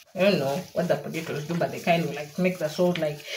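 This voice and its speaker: The speaker is a woman. Audible room echo is present. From Uganda. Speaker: cooking vlogger. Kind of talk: casual vlog tutorial. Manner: playful, chatty.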